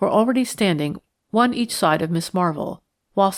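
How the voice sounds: Over a quiet background comes a natural reading voice. Its intonation is lively.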